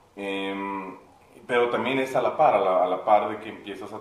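With a fairly low pitch and fairly even intonation, a man talks at a moderate pace amid noticeable background noise. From Mexico City. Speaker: musician and producer. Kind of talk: casual interview chat. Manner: halting, many repeated words.

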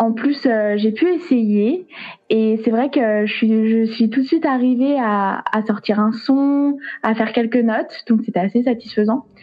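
A woman with ordinary pitch variation and a fairly high voice talks at a fairly slow pace. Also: very even loudness. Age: 20s. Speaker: saxophonist and music teacher. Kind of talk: casual interview. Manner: hesitant, many fillers.

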